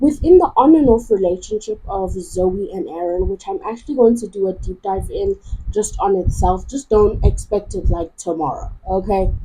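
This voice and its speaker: Over noticeable background noise, a woman talks fairly slowly. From South Africa. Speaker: YouTuber, TV commentator. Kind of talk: video essay commentary. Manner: casual, conversational.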